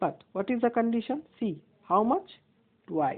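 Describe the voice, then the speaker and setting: A woman speaks with an Indian accent at high pitch. Her pitch swings very widely, and her pace is fairly slow. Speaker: maths teacher. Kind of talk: tutorial.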